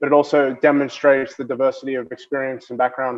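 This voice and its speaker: The delivery races along at a very fast pace. Its intonation stays monotone and flat. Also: man. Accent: Australian. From Australia. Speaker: banking innovation executive. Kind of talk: keynote speech. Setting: video call.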